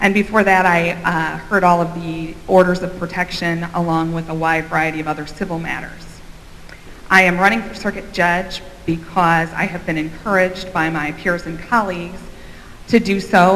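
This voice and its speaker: Against noticeable background noise and audible room echo, a woman with an American accent speaks at a fairly low pitch in a monotone, flat delivery. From Central Illinois. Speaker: judicial candidate. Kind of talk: candidate forum speech.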